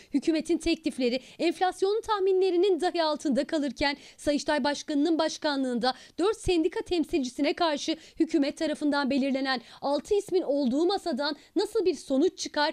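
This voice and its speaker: In a high voice with ordinary pitch variation and very even loudness, a woman speaks at a moderate pace, the sound dry and close with no echo. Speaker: news reporter. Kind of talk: news narration.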